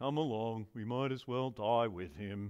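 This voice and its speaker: A man does a put-on character voice at medium pitch. He speaks at a moderate pace. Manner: gloomy, downbeat.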